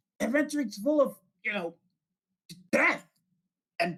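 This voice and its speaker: A raspy, high-pitched put-on character voice. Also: moderate pace. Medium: actual play. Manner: cocky.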